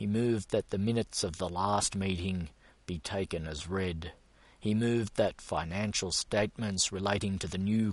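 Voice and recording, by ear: A passage is read out in an unaffected, natural way.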